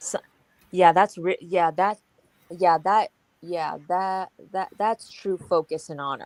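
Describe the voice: Someone does plain reading aloud, and the background is quiet.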